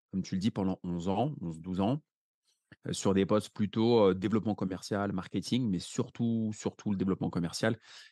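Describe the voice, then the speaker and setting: A man speaks at a fairly low pitch in a dark, mellow tone, with ordinary pitch variation. The sound is dry and close with no echo, and the background is quiet. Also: fairly quick pace. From France, Paris. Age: 30s. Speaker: real estate investor. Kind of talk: interview conversation.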